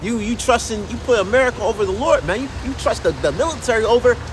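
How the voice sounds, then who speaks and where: Noticeable background noise comes with a man's very fast speech. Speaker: religious livestreamer. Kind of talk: live stream monologue. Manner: halting, repetitive.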